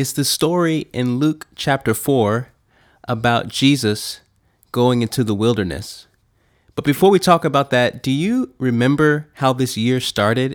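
An unremarkable speaking voice at a fairly slow pace with ordinary pitch variation, in a very clean recording with a silent background. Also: man, medium pitch for a man. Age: 30s. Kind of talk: devotional teaching monologue.

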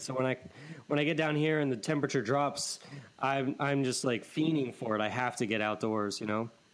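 Lively intonation marks this man's fairly high voice. It is an ordinary speaking voice. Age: 30s. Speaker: podcast host. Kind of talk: casual chat.

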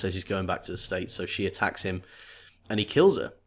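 A man with a British accent on a very clean recording against a silent background. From Great Britain. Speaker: podcast co-host. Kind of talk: casual chat.

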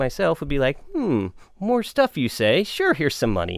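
A man talks very fast. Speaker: board game podcast co-host. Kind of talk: casual chat. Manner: halting, many fillers.

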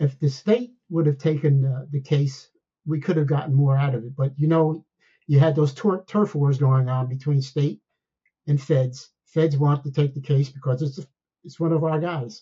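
Somewhat breathy, a man with a fairly high pitch speaks at a moderate pace with fairly even intonation. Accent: American. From New Jersey. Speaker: retired DEA agent. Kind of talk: interview storytelling.

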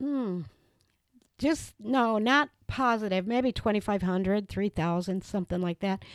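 Speaking at a fairly slow pace with a Wisconsin accent, a woman uses a medium pitch and ordinary pitch variation on a very clean recording with a silent background and a dry, close sound with no echo. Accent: Upper Midwest (Wisconsin). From Wisconsin, Reedsburg. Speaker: local historian. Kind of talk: interview. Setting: in a home.

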